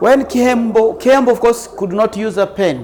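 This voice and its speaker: Noticeable background noise sits under the voice. Speech keeps a moderate pace. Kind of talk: interview answer.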